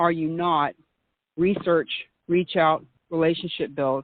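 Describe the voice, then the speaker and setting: A woman at a fairly low pitch, in a Southern US accent, at a moderate pace. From US South. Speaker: meetup organizer and author. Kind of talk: interview.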